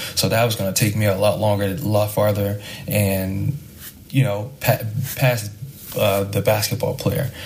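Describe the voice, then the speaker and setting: Noticeable background noise sits behind a man speaking at a moderate pace with long, frequent pauses. His voice is fairly low, with fairly even intonation. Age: 20s. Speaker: professional basketball player. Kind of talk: podcast interview.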